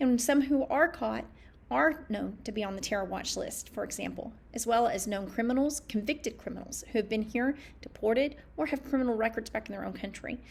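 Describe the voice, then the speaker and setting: With a Southern accent, this voice moves at a fairly quick pace, showing vocal fry and ordinary pitch variation. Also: woman, fairly high pitch for a woman. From US South, East Tennessee. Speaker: political candidate. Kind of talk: campaign talk to camera. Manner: halting, often tongue-tied.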